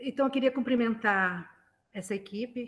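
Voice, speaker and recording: A woman does the talking. Her intonation shows ordinary pitch movement. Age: 60s. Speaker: retired journalism professor. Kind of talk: interview.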